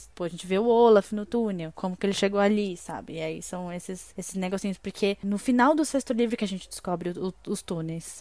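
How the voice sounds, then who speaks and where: Her voice has a dark, mellow tone, medium pitch and ordinary pitch variation. The woman talks at a fairly quick pace with hardly any pauses. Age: 20s. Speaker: podcast co-host. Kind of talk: casual chat.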